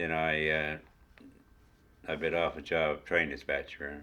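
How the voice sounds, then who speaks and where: Very slow, very deep, low-pitched speech from a man with a Newfoundland accent and a bright, sharp tone. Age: old. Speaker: retired railway worker. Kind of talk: oral history interview.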